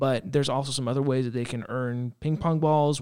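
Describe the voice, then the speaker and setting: An unremarkable speaking voice with an American accent moves at a fairly quick pace in fairly even intonation. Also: man. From Reno, Nevada. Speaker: children's pastor. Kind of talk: casual chat. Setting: studio.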